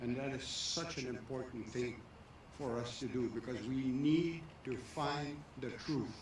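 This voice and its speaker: Over noticeable background noise and audible room echo, a man talks with fairly even intonation. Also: medium pitch for a man. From Canada, Métis. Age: 80s+. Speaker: elder and residential school survivor. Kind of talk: ceremonial speech.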